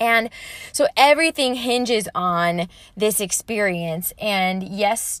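A woman with a normal speaking voice talks at a medium pitch, with ordinary pitch variation. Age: 30s. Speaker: fitness trainer and podcast host. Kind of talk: personal monologue pep talk. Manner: casual, conversational with fillers.

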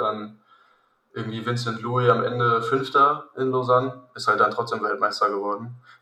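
Amid audible room echo, a man speaks at a moderate pace in a monotone, flat intonation. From Hesse, Germany (Königstein near Frankfurt). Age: 20s. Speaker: triathlete. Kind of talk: casual chat.

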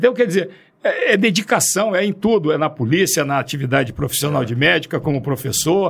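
At a fairly quick pace, a man with an unremarkable speaking voice talks in a fairly high register. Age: 60s. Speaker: forensic doctor and orthopedic surgeon. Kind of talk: podcast interview.

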